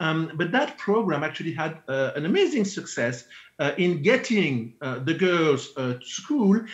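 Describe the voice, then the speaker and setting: A man at a fairly slow pace, with very wide pitch swings, against a quiet background. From Belgium. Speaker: economist; presenter. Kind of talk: conference presentation. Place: home room. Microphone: webcam.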